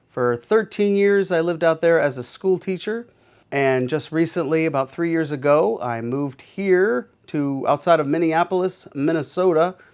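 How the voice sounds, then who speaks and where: A man with an American accent talks at a moderate pace with a fairly high pitch and ordinary pitch variation. It is a plain, everyday voice, and the background is quiet. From Pittsburgh, Pennsylvania. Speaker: art teacher and car rental business owner. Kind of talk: casual interview monologue.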